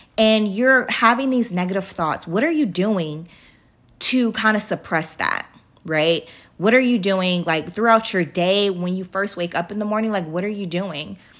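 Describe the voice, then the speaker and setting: The recording is very clean, with a silent background. A woman speaks at medium pitch and a moderate pace with an animated tone and ordinary pitch variation. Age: 30s. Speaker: self-love podcast host. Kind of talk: casual solo podcast talk. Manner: animated, laughing often.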